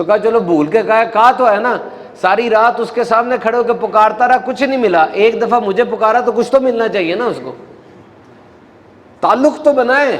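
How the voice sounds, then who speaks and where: His pitch is extremely high for a man. The man's pitch varies in an ordinary way. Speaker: Islamic preacher. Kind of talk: religious sermon with a story, delivered to an audience.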